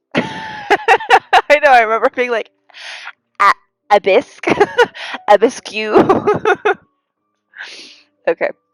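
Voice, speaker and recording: A woman's high voice with very wide pitch swings, at a very slow pace with long, frequent pauses, music in the background. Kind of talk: live-stream gameplay commentary. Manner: casual, chatty.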